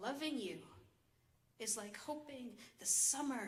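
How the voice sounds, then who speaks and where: Against noticeable background noise, a woman with an American accent speaks at a very slow pace, her pitch high with ordinary variation. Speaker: slam poet. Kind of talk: poetry reading.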